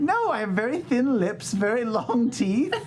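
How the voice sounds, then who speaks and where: This put-on character voice sits fairly high in pitch and moves at a moderate pace over clear background noise. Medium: actual play. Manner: awkward, earnest.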